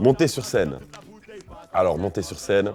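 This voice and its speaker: A man speaks with lively intonation. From Belgium. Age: 20s. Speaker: rapper. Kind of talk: interview answer.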